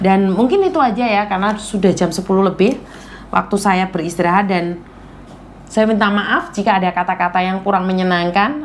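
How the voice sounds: A woman at medium pitch does a hoarse, raspy put-on character voice at a moderate pace over light background noise.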